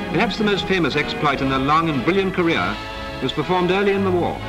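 A man talking at a very fast pace, with clear music in the background. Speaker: newsreel narrator. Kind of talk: wartime newsreel narration. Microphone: old recording.

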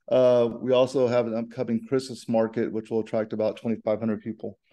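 A dark, mellow voice in a flat monotone at a moderate pace, against a quiet background. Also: man. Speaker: host of heritage society event. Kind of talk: welcoming introduction. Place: home room. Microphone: video call.

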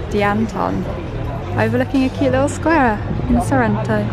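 Over clear music in the background, a woman talks at a fairly quick pace with a dry sound and no echo. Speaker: travel vlogger. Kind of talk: casual vlog chat. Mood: cheerful, excited. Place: cafe. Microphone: phone near.

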